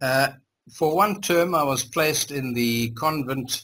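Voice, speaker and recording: With a bright, sharp tone, a man talks at a fairly slow pace. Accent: German. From Zimbabwe. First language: German. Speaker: interviewee, former community member. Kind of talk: life story interview. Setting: video call. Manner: halting.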